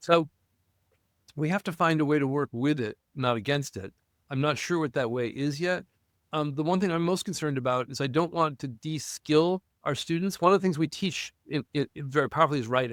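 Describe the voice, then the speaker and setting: A man's fairly high voice at a fairly quick pace, with ordinary pitch variation, dry and close with no echo, on a very clean recording against a silent background. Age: 60s. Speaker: university professor and historian. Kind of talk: podcast interview conversation. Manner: enthusiastic; animated.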